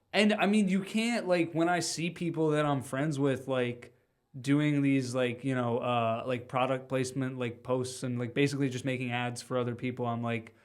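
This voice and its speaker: A man with an unremarkable speaking voice talks at a moderate pace, medium in pitch, with ordinary pitch variation. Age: 20s. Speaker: podcast host. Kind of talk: casual chat. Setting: studio.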